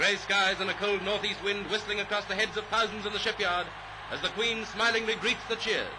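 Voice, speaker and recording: Amid noticeable background noise, a man speaks at a high pitch in a monotone, flat intonation. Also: fairly quick pace. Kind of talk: newsreel narration.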